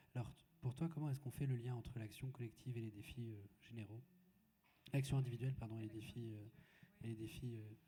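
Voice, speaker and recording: Fairly quick in pace, the voice has a dark, mellow tone and a somewhat breathy quality. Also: man, medium pitch for a man, fairly even intonation. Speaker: moderator. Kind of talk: panel discussion. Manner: halting.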